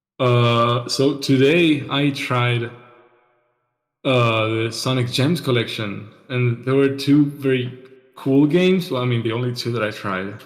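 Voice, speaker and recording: At a fairly slow pace, a man talks at medium pitch with ordinary pitch variation. The room echo is audible. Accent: non-native. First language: not English. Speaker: podcast co-host. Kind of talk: casual solo chat. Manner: halting, many fillers and repeats.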